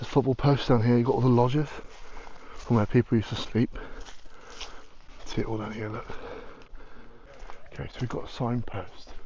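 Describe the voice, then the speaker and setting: In a British accent, a man speaks at a fairly quick pace with long, frequent pauses. His medium-pitched voice has monotone, flat intonation. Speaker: urban explorer vlogger. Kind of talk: casual vlog commentary. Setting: outdoors. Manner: whispering.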